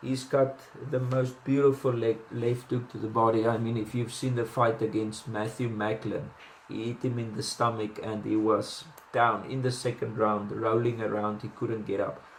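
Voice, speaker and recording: A man speaks with a South African accent at medium pitch and a moderate pace, his intonation monotone and flat. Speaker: boxing commentator. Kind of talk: casual analysis monologue. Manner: hesitant, many fillers and restarts.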